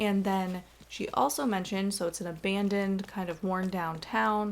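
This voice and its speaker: With a normal speaking voice, a woman talks at a moderate pace at medium pitch with fairly even intonation. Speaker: gaming YouTuber. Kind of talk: casual video game tour narration. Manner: chatty, self-correcting.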